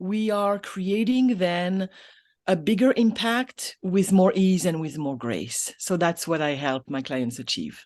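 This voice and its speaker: Speaking at a very slow pace in a French accent, a woman's voice shows very wide pitch swings. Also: medium pitch for a woman. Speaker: business coach. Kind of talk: interview. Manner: halting.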